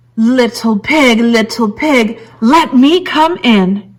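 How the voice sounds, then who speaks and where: Loud and very slow, a woman uses a put-on character voice at a fairly high pitch. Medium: read story. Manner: loud, blustering.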